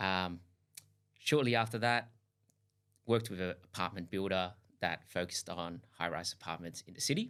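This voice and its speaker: Recorded very cleanly against a silent background, a man with a very deep, low pitch and an Australian accent speaks at a fairly quick pace in a bright, sharp tone with ordinary pitch variation. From Australia, Sydney (Hills District). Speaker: duplex builder, company founder. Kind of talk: podcast interview.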